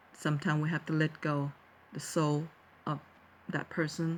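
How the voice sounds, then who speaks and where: In a Thai accent, a woman with a very deep, low pitch speaks at a moderate pace with fairly even intonation. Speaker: vlogger, teacher. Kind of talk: personal talk to viewers. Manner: halting, many fillers and restarts.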